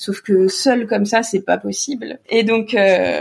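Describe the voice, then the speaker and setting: A woman's voice at a fairly slow pace. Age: 20s. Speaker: assistance dog owner with fibromyalgia. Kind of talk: podcast interview.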